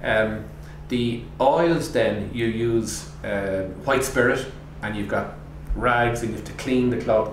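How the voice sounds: Audible room echo surrounds a man speaking slowly. He has a medium pitch with ordinary pitch variation.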